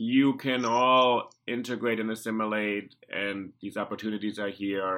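Set in a very clean recording with a silent background, the voice has a bright, sharp tone, a German accent and fairly even intonation. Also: man. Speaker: podcast host. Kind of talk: interview.

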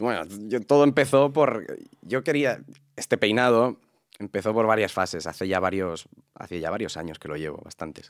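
A plain, everyday voice from a man, fairly low in pitch, with lively intonation. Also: moderate pace. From Catalonia, Spain (Sant Boi de Llobregat). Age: 20s. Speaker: actor and content creator. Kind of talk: interview.

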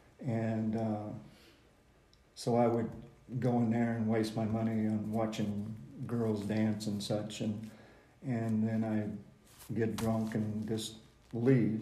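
A man with an American accent at medium pitch, dark and mellow in tone, speaking in a monotone, flat intonation at a very slow pace with long, frequent pauses and audible room echo. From Decatur, Illinois, US Midwest. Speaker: guest sharing recovery testimony. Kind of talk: personal testimony.

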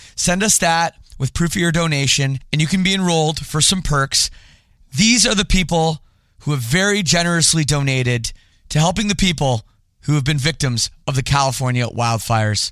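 Speaking in an ordinary speaking voice, a man with a Canadian accent has a fairly high pitch. His intonation is lively, his loudness very even and his pace moderate. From Toronto area, Canada. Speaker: podcast host. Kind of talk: casual interview; read-out ad.

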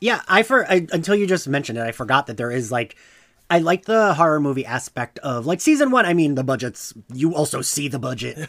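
Fairly quick and lively in intonation, a man talks in a plain, everyday voice. His pitch is fairly high. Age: 40s. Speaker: podcast host guest. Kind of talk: casual chat.

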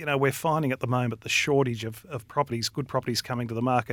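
With an Australian accent, a man speaks at medium pitch and fairly even intonation in a dry, close sound with no echo. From Australia, Victoria. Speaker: real estate company director. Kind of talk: casual chat. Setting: studio.

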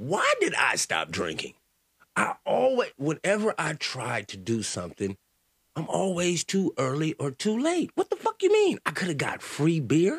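In a dry, close sound with no echo, a man speaks at a fairly slow pace in an animated tone. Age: 40s. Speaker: comedy podcast host. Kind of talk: comedic monologue.

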